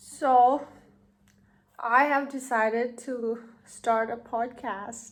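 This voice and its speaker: With a Thai accent, a woman speaks at a very slow pace in a high, monotone, flat voice, with long, frequent pauses. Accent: Thai, non-native English. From Thailand. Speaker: podcaster. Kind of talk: casual monologue. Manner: halting.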